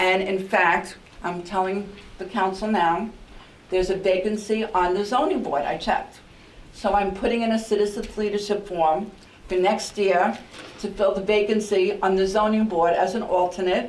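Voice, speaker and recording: Speaking at a moderate pace with a New York accent, a woman with a medium pitch uses fairly even intonation amid noticeable background noise and audible room echo. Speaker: outgoing mayor. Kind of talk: farewell speech at council meeting. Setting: council meeting chamber. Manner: halting with fillers.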